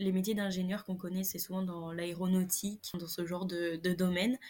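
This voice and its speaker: Somewhat breathy, a woman speaks at a moderate pace and medium pitch in a monotone, flat intonation. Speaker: agronomy engineering student. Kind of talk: casual interview.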